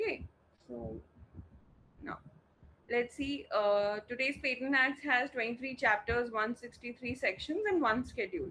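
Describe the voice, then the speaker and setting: Speaking at a fairly slow pace with long, frequent pauses, a woman uses a high pitch with ordinary variation. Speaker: patent law teacher. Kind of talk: online class lecture.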